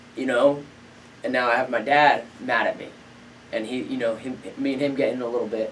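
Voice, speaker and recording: A man with an American accent talks at a fairly quick pace, yet with long, frequent pauses. Audible room echo and noticeable background noise are present. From New Jersey. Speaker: professional MMA fighter. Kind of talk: casual interview chat. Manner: animated storytelling.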